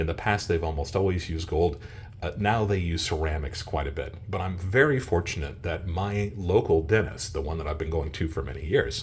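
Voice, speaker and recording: With audible room echo, a somewhat breathy voice moves at a fairly quick pace with ordinary pitch variation. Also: man, very deep, low pitch for a man. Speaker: coin and precious metals video creator. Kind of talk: casual video monologue.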